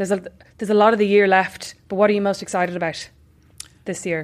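This woman speaks with an Irish accent. Her pitch sits in the medium range. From Ireland. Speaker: podcast host. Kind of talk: casual interview. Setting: in-person recording.

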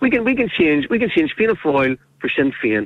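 Speaking fairly quickly with a Northern Irish accent, a man with a fairly high pitch swings his voice very widely up and down. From Northern Ireland. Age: 50s. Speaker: caller. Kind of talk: radio phone-in. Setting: phone call.

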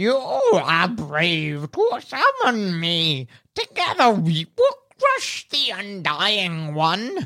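A female-sounding voice at medium pitch puts on a character voice. The delivery moves at a very slow pace. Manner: grand, commanding.

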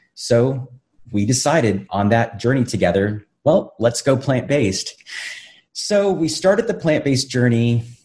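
A man at medium pitch, somewhat breathy, at a fairly slow pace, with very even loudness and lively intonation. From South Texas border town, Brownsville. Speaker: vegan chef and animal advocate. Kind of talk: interview conversation.

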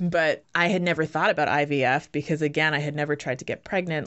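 With an American accent, a woman speaks at a fairly quick pace in a very deep, low pitch and fairly even intonation. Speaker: memoir author and writer.

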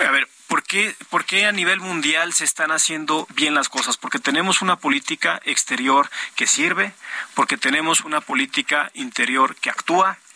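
A man speaks at a very even loudness. The sound is dry and close with no echo, though noticeable background noise is present. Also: ordinary pitch variation, moderate pace. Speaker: politician. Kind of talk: political debate.

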